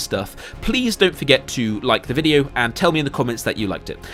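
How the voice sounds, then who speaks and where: A man talking at a very fast pace with very wide pitch swings, music in the background. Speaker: YouTuber, video essayist. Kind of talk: unscripted commentary monologue. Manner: stuttering, halting.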